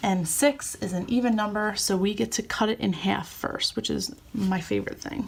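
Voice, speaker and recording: With hardly any pauses, a woman talks at a moderate pace, her voice showing vocal fry. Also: medium pitch for a woman, ordinary pitch variation. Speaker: teacher. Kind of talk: tutorial.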